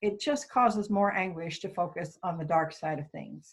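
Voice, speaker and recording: Recorded very cleanly over a silent background, a woman speaks at a medium pitch with ordinary pitch variation. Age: 60s. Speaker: worship associate. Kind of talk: sermon. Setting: recorded worship service.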